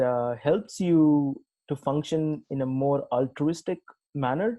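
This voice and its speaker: Ordinary pitch variation runs through a dark, mellow tone. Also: man. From India, Tamil Nadu. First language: Telugu. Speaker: tech executive. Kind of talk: interview. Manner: halting, many fillers.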